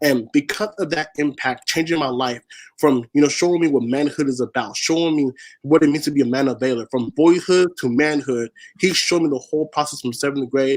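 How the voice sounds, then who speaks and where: With an American accent, a man with an ordinary speaking voice talks at a fairly quick pace in a fairly high pitch with ordinary pitch variation, the sound dry and close with no echo. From Washington state, US (SeaTac). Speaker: spoken word poet and activist. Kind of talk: interview.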